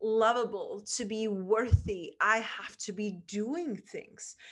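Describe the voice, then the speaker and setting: A woman's fairly high-pitched voice at a very slow pace, against a quiet background. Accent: Czech. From Czech Republic. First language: Czech. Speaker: podcast host and mindset coach. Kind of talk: interview conversation. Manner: animated.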